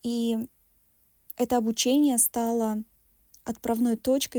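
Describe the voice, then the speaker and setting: Very slowly, a woman speaks at a fairly high pitch in a dark, mellow tone, the sound dry and close with no echo. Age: 40s. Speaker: psychologist. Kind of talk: recorded monologue.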